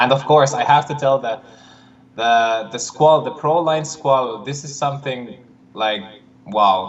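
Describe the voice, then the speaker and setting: At a moderate pace, a man with an Estonian accent talks at a medium pitch with ordinary pitch variation. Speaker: disc golf player. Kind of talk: casual livestream chat. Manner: halting.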